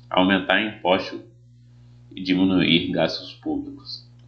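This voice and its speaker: The speaker is a man with a very deep, low pitch. He talks at a fairly slow pace. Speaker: teacher. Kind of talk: tutorial. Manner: casual.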